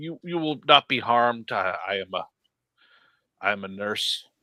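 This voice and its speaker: A put-on character voice at a moderate pace with very wide pitch swings, recorded dry and close with no echo in a very clean recording with a silent background. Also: man, medium pitch for a man. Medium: actual play. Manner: stammering, halting, formal.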